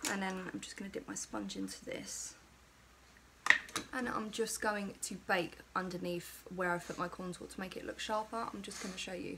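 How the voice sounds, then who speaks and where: Moderate-paced speech from a woman against noticeable background noise. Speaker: beauty vlogger. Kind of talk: chatty makeup tutorial. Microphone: phone near.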